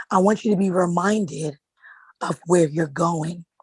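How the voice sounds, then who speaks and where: A woman speaks with a fairly low pitch and ordinary pitch variation. Her voice is somewhat breathy, with a dry, close sound and no echo. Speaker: author and motivational speaker. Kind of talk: motivational talk.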